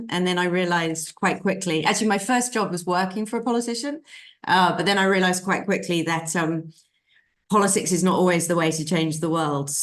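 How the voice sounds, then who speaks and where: A woman speaks with a British accent. The background is quiet. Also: medium pitch for a woman, ordinary pitch variation. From UK. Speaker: sustainable finance consultant. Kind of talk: interview. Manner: halting.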